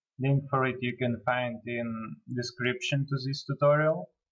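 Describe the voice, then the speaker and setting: A man speaks at a fairly slow pace in a medium pitch, with monotone, flat intonation and a non-native accent. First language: not English. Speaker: software tutorial creator. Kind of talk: tutorial. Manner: hesitant, with fillers.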